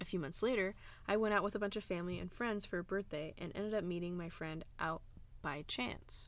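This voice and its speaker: In a plain, everyday voice, a woman speaks at a fairly quick pace, her medium pitch showing ordinary variation. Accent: American. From Arizona. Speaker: podcast host. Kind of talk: casual chat. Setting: walk-in closet at a house.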